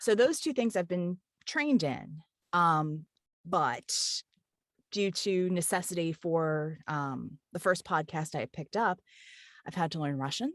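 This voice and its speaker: A woman with an American accent speaks at a fairly slow pace and fairly low pitch, with lively intonation. Her long, frequent pauses are heard in a dry, close sound with no echo. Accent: Florida and Eastern US with Southern cadence. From Kentucky. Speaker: audiobook narrator and voice actor. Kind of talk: interview. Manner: easygoing, chatty flow.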